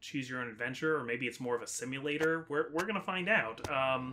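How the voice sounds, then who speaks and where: Noticeable background noise fills the recording. A man speaks over it in a fairly high pitch. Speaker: gaming YouTuber. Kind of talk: casual let's-play commentary. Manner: hesitant, many fillers.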